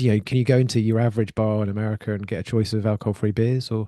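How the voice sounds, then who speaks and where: A man speaks very fast with an English accent and a dark, mellow tone. The sound is dry and close with no echo, and the background is quiet. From UK. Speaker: podcast host. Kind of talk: podcast interview.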